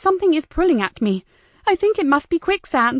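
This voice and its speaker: Putting on a squeaky character voice, a woman speaks at an extremely high pitch with very wide pitch swings and a fairly quick pace, the sound dry and close with no echo. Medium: read story.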